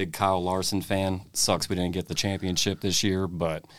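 A man with an American accent and a very deep, low pitch talks at a fairly slow pace on a very clean recording with a silent background. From Indiana. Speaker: sports podcast co-host. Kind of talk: casual chat.

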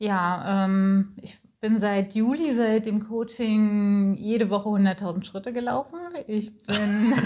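Speaking at a very slow pace, a woman has a dark, mellow tone, a medium pitch, ordinary pitch variation and a somewhat breathy quality. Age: 30s. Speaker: coaching client. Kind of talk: interview.

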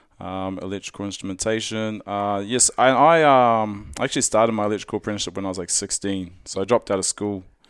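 On a very clean recording with a silent background, a man with a New Zealand accent talks very fast at a fairly low pitch, with ordinary pitch variation and hardly any pauses. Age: 30s. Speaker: strongman athlete. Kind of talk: casual interview.

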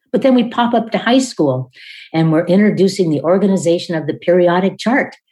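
Using a normal speaking voice with an American accent, a woman talks at a medium pitch with lively intonation. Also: fairly quick pace. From US Northwest (Washington state). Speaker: literacy expert and education author. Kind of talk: interview.

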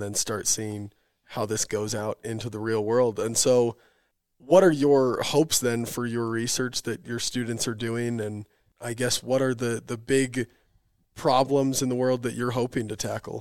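At medium pitch and a moderate pace, a man uses a normal speaking voice with fairly even intonation. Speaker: podcast host. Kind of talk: podcast interview.

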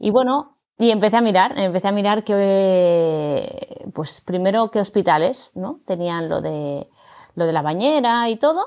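A woman with a medium-pitched, plain, everyday voice, at a fairly slow pace and with lively intonation. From Barcelona, Spain. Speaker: yoga teacher and new mother. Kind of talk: casual interview.

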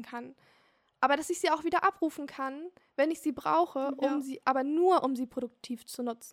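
The delivery moves at a moderate pace. The sound is dry and close, with no echo. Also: woman. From Germany, Hamburg. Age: 20s. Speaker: teacher-training student. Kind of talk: interview.

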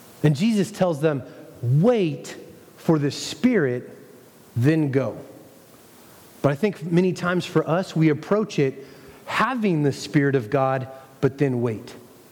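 A man's fairly high voice with lively intonation, a fairly slow pace and long, frequent pauses, over noticeable background noise. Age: 30s. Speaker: pastor. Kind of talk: sermon.

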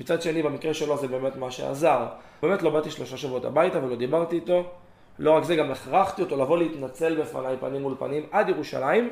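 A man delivers his words very fast, his fairly high pitch showing ordinary pitch variation. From southern Israel, Gan Yavne, Moroccan family. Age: 20s. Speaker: former yeshiva student sharing personal story. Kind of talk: personal testimony.

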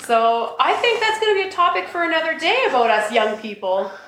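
A woman's intonation is lively, and noticeable background noise can be heard behind her. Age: 40s. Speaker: podcast host. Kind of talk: casual chat.

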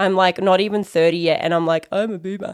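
In a very clean recording with a silent background, a woman with an Australian accent speaks in an animated tone at a medium pitch. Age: 20s. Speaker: podcast host. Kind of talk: casual monologue.

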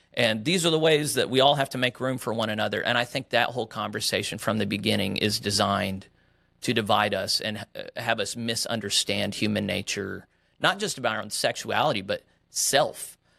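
Bright and sharp in tone, a man with an American accent speaks at a medium pitch and fairly quick pace in a very clean recording with a silent background. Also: ordinary pitch variation. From West Texas and Oklahoma. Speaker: pastor. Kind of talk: interview.

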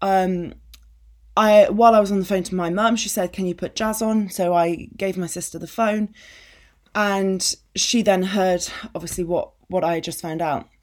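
On a very clean recording with a silent background, a woman speaks at a medium pitch and a moderate pace with ordinary pitch variation. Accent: English. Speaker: podcast host, business coach. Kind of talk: personal monologue.

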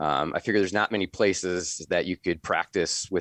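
A man with an American accent and a very deep, low voice, fairly quick and fairly even in intonation, in a dry, close sound without echo. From US Midwest, northwest Iowa. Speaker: veterinarian. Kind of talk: casual interview.

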